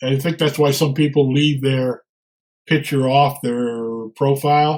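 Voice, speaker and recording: A man speaks in a fairly high pitch. His somewhat breathy voice moves at a fairly slow pace. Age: 70s. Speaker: retired operations professional and presenter. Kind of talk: webinar Q&A. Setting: webinar. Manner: halting.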